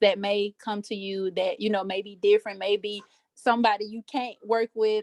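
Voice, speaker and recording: A woman speaks with a Southern US accent. Her pace is moderate and her pitch is medium. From US South, Alabama. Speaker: aspiring life coach, mentor to young women. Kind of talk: group Q&A video call. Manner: halting, many fillers.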